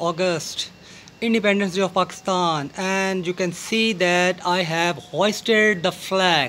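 Against light background noise, a man with a high pitch speaks at a moderate pace with fairly even intonation. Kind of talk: gardening tutorial vlog. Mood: festive, patriotic. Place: garden. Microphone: phone near.

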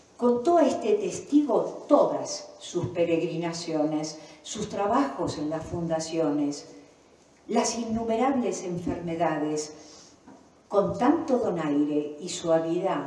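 Speaking at a very slow pace with lively intonation, a woman is heard with audible room echo. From Argentina. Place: hall.

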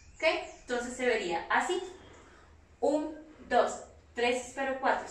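There is audible room echo as a woman speaks at a fairly slow pace with ordinary pitch variation. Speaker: dance teacher. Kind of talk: tutorial. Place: home room. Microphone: camera far.

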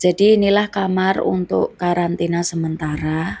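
Speaking at a moderate pace, a woman with a fairly low voice sounds dry, with no echo. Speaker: migrant domestic worker vlogger. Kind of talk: personal vlog narration. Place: home room. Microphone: phone near.

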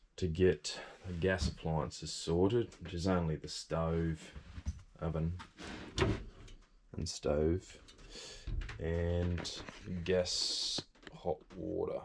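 A man with a very deep, low pitch speaks at a very slow pace with fairly even intonation and long, frequent pauses. Background noise is noticeable. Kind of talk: casual vlog chat. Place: bus. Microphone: phone near.

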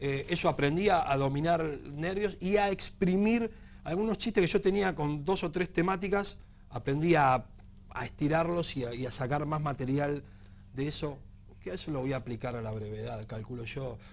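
Lively intonation marks this man's fairly high voice, heard in a Rioplatense accent. He speaks at a moderate pace. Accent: Argentine Rioplatense Spanish. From Argentina. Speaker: stand-up comedian. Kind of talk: TV interview. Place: studio. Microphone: lapel.

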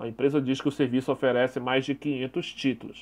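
A man speaks with a plain, everyday voice at a moderate pace. His pitch is fairly high. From Brazil. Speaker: YouTube anime news commentator. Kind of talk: solo news commentary video.

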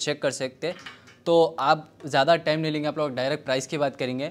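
Speaking at a fairly quick pace, a man with a fairly high pitch keeps his intonation monotone and flat. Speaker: vlogger reviewing gadgets. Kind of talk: product unboxing review. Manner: loud. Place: home room. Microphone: lapel.

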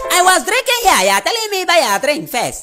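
A put-on character voice shouts at an extremely high pitch and a fairly quick pace. Light background noise can be heard. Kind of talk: scripted comedy dialogue. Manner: shouting, indignant. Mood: angry, complaining.

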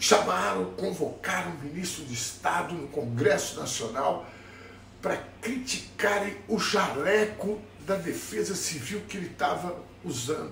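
Through light background noise and audible room echo, a man with a high pitch speaks at a fairly slow pace. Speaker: political commentator. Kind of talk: casual opinion vlog. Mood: indignant, sarcastic. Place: kitchen. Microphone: phone near.

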